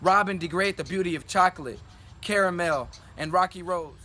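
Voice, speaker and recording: Raised and projected, a man's high-pitched voice carries a bright, sharp tone at a fairly quick pace. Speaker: spoken word poet. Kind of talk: spoken word poetry performance, often in call-and-response with a partner.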